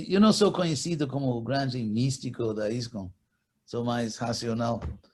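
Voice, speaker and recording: A man's lively intonation and somewhat breathy tone move along at a moderate pace. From California, USA. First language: English (speaking Portuguese). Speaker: spiritual teacher. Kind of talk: interview.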